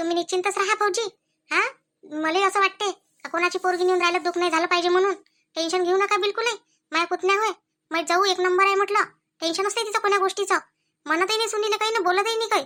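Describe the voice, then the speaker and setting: A woman's put-on character voice, extremely high in pitch, at a fairly quick pace with fairly even intonation. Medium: comedy sketch. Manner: chatty, persuasive.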